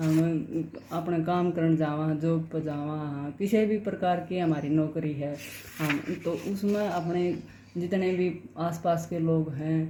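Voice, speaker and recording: A woman talks in a Haryanvi accent. Audible room echo follows her words. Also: fairly low pitch for a woman, fairly even intonation. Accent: Haryanvi-tinged Hindi. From Haryana, India. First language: Haryanvi (speaking Hindi). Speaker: YouTuber reading books aloud. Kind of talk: book summary and reading aloud. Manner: halting, with false starts.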